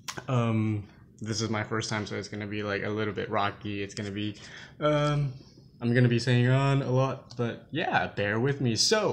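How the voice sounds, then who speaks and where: Mumbling, a man talks at a moderate pace. His pitch is medium and his intonation fairly even. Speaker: movie vlogger. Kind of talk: casual live stream talk to camera. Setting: low-quality home live stream. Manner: hesitant, mumbling.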